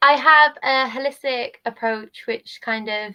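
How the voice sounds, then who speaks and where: The speaker is a woman. She has a Welsh accent. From Wales. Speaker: travel nanny and maternity nurse. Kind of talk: casual interview. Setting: live stream on social media. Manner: calm.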